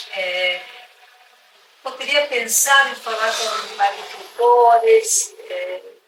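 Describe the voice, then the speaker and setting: Very slow speech with an Argentine accent, long, frequent pauses and noticeable background noise. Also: woman. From Argentina. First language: Spanish (speaking Portuguese). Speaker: conservation reserve executive. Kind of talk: interview. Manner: halting, many fillers.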